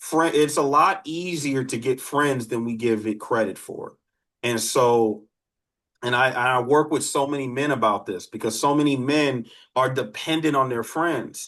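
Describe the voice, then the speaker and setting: A man's plain, everyday voice at a fairly slow pace, with ordinary pitch variation, an American accent, and a quiet background. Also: medium pitch for a man. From Detroit, US Midwest. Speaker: criminologist and dating coach. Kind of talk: live online workshop with Q&A.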